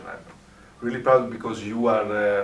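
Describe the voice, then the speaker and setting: A man with an Italian accent speaks in a fairly low monotone with flat intonation, with noticeable background noise and audible room echo. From Italy. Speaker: hypnotist. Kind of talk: interview conversation. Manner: halting, many fillers.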